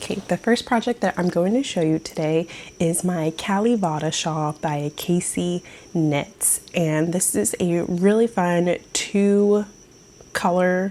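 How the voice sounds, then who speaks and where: Soft-spoken and dark, mellow in tone, a woman speaks at a very slow pace in a fairly low pitch. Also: ordinary pitch variation. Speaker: knitting vlogger. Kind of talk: casual show-and-tell vlog. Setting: at home, early morning. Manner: quiet, soft-spoken.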